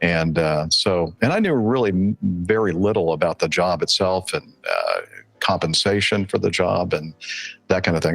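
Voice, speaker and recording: A man speaking with an American accent keeps a moderate pace while music runs in the background. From Southern California, then Mobile, Alabama from age 13. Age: 60s. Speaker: airline pilot. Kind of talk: interview conversation. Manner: halting, many fillers.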